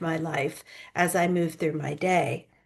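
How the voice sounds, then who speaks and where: This woman has a normal speaking voice, fairly low in pitch. She talks at a moderate pace. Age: 60s. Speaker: author and public speaker. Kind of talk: interview conversation.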